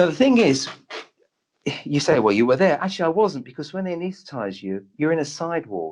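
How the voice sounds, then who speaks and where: A man at a fairly high pitch, with very wide pitch swings and a fairly quick pace. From London (Tottenham, North London). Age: 60s. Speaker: doctor and medium. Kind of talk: interview storytelling.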